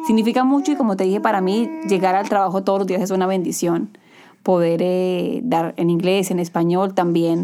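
This woman has a plain, everyday voice at medium pitch, with ordinary pitch variation. She keeps a moderate pace and very even loudness. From Colombia. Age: 30s. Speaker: TV news anchor. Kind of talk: casual interview. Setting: studio.

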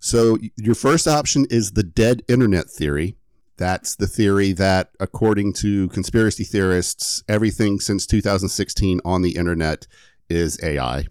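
A man's unremarkable speaking voice, fairly low-pitched with ordinary pitch variation, at a fairly slow pace, in a dry, close sound with no echo. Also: very clean recording, silent background. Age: 30s. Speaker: podcast host and editor. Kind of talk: casual chat with story telling.

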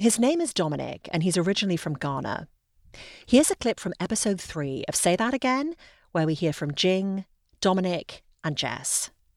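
On a very clean recording with a silent background, a woman in an RP accent speaks at a moderate pace in a medium pitch with very wide pitch swings. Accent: English received pronunciation. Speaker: podcast host. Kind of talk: interview conversation.

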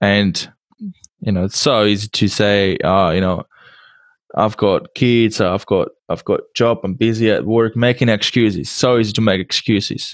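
The recording is very clean with a silent background. A man of fairly low pitch talks at a moderate pace with ordinary pitch variation. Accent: Czech. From Czech Republic. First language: Czech. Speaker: podcast host. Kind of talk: interview. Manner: halting.

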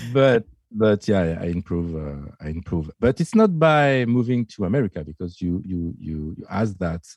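A man speaks fairly slowly with a fairly low pitch and a dark, mellow tone. His intonation is lively. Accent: French. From France. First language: French. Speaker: DJ and music producer. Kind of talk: casual chat. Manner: halting; shy.

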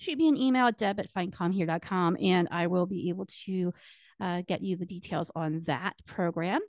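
The pace is fairly slow, and the speaker has an unremarkable speaking voice. The sound is dry and close with no echo, and the background is quiet. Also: woman. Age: 40s. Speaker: podcast host and community strategist. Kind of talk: solo podcast monologue, partly reading book excerpts. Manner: casual with filler words.

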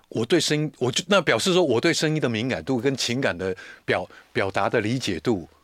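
A man's medium-pitched voice with vocal fry and very wide pitch swings, at a fairly quick pace, on a very clean recording with a silent background. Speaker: commercial voice actor. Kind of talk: casual chat.

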